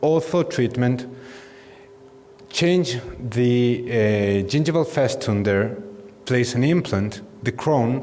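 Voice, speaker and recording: In a Spanish accent, a man talks at a very slow pace and a medium pitch, with ordinary pitch variation, very even loudness and long, frequent pauses, amid noticeable background noise and audible room echo. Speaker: dentist. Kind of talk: lecture. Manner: halting.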